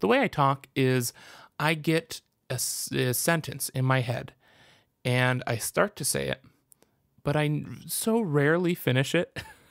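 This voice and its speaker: A man talks at a fairly slow pace with ordinary pitch variation and long, frequent pauses. The recording is very clean, with a silent background. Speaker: podcast host and comic creator. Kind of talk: casual podcast monologue. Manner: halting, restarts and cuts off sentences.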